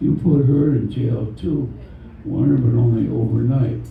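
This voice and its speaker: A man talks fairly slowly, with audible room echo and noticeable background noise around him. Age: 80s+. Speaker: poet. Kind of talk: poetry reading.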